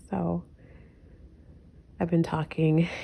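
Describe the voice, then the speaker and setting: A woman is whispering. Her pace is fairly slow. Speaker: vlogger. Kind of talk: casual vlog.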